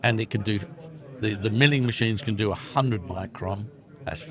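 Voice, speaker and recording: Over music in the background, a man speaks at a moderate pace with a fairly low pitch and ordinary pitch variation. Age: 60s. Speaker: exhibitor / sales rep for electronics equipment. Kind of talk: trade show interview. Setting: trade show floor. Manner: animated.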